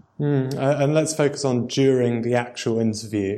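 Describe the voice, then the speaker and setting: This man has a normal speaking voice, medium in pitch with ordinary variation, at a moderate pace. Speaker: podcast host. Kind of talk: interview.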